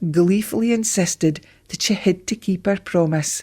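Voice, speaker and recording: In a very clean recording with a silent background, a woman with a fairly low pitch speaks at a fairly slow pace, her voice somewhat breathy. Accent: northeast Scottish. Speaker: storyteller. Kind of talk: folk tale storytelling.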